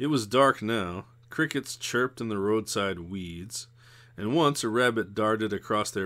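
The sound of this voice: What you hear is an unforced reading voice.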